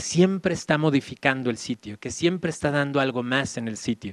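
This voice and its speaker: A man talks with ordinary pitch variation. The audio is dry and close, without any echo. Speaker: Jesuit philosophy professor. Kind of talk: lecture. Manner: fast.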